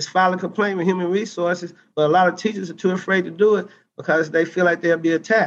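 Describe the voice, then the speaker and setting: A high-pitched man with an Arkansas accent, very fast pace and fairly even intonation. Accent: Southern US (Arkansas). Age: 40s. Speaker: teacher and political candidate. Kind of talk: interview.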